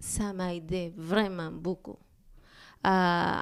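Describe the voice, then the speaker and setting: In a Spanish accent, the voice comes through on a very clean recording with a silent background. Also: woman. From Peru. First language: Spanish (speaking French). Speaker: immigrant guest. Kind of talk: interview. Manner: halting.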